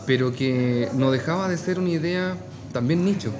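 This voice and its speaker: A man at a moderate pace with ordinary pitch variation, audible room echo around his voice. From Chile, Talca. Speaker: phone shop owner. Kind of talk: casual interview over drinks. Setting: bar.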